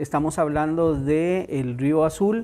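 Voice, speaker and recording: Speech comes from a man at a very slow pace. His pitch sits fairly high. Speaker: emergency management official. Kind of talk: press statement. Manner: hesitant, frequent filler sounds.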